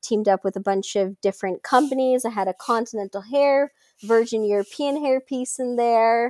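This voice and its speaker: Over a very clean recording with a silent background and a dry, close sound with no echo, a woman with a plain, everyday voice speaks at fairly high pitch and moderate pace with ordinary pitch variation. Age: 20s. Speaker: alopecia advocate and social media creator. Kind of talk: interview, personal story.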